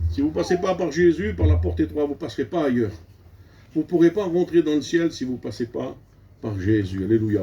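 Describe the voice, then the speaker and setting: Somewhat breathy and dark, mellow in tone, a man speaks at a moderate pace and medium pitch with very wide pitch swings. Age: 60s. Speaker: preacher. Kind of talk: sermon. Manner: animated.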